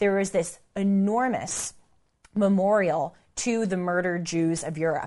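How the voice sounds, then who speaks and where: A woman speaks in an American accent at a medium pitch. Her pitch varies in an ordinary way. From United States. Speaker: commentator, podcast host. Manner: conversational, storytelling.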